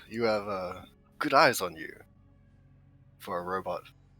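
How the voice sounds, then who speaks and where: Over faint background music, a man puts on a character voice, fairly low in pitch, at a moderate pace. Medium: actual play.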